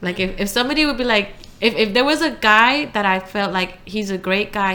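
Ordinary pitch variation marks this woman's medium-pitched voice. It is a plain, everyday voice. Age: 20s. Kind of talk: casual chat.

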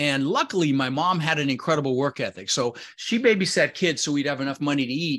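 A man with an American accent talks at a fairly quick pace, his pitch fairly high. His is an unremarkable speaking voice with ordinary pitch variation. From Netherlands, raised in the US. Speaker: real estate investor and educator. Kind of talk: interview.

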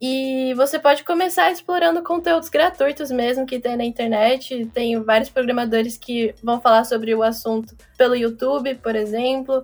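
Her voice sits high, and this woman's pitch varies in an ordinary way. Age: 20s. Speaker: tech startup founder. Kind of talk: casual chat.

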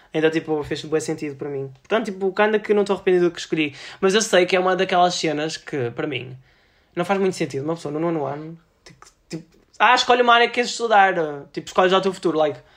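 A man talks at a very fast pace in a high voice with ordinary pitch variation. His loudness swings a lot. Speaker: podcast host. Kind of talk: casual chat. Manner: animated.

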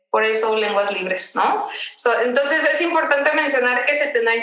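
A woman speaks in a raised, projected voice with a high pitch. Her intonation is lively and her pace moderate. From Mexico, Tijuana. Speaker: podcast co-host. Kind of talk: casual chat. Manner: halting, repeats words.

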